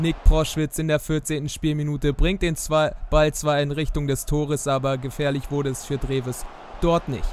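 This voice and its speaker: Speaking at a moderate pace, a man with a fairly high pitch holds a flat, monotone intonation. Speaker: YouTuber gaming channel host. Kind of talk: sports commentary over FIFA game highlights. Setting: voiceover recorded for a video.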